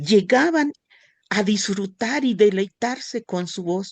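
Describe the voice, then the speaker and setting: A woman talks at a very slow pace in a fairly high pitch. The sound is dry and close, with no echo. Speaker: church class teacher. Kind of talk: religious class lesson.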